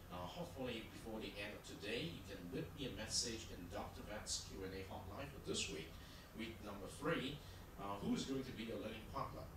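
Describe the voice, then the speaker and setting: A man at a moderate pace amid noticeable background noise and audible room echo. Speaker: university lecturer. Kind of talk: lecture. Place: hall.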